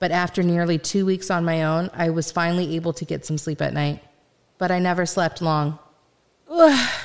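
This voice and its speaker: This woman has an unremarkable speaking voice, fairly low in pitch, with fairly even intonation at a moderate pace. The recording is very clean, with a silent background. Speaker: first-person narrator and voice actor playing the main character in an audio drama. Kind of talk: dramatic audio-drama narration, first-person and scripted, with in-character dialogue.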